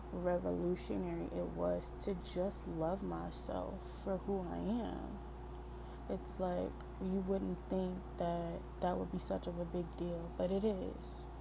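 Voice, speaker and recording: Soft-spoken and very slow, a woman talks at a very deep, low pitch with ordinary pitch variation. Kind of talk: soft-spoken ASMR poetry reading with personal commentary. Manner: soft-spoken, relaxing.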